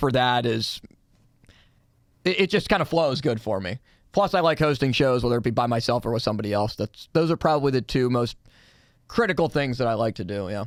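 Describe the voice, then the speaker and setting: With an American accent, a man talks at a medium pitch and a fairly quick pace with lively intonation, recorded very cleanly over a silent background. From Pittsburgh area, Pennsylvania. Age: 20s. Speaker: sports radio producer and co-host. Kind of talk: casual chat. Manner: fast.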